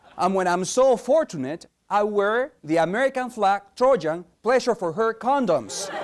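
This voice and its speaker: A high-pitched man with a slight Spanish accent talks with hardly any pauses. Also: lively intonation, moderate pace. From Peru. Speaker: competitive speaker. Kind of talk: competition speech.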